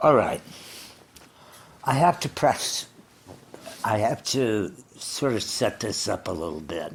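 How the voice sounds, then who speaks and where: A man's medium-pitched voice with an American accent, vocal fry and very wide pitch swings, at a very slow pace with long, frequent pauses. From Los Angeles. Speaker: storyteller and performer. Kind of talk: autobiographical storytelling to live audience.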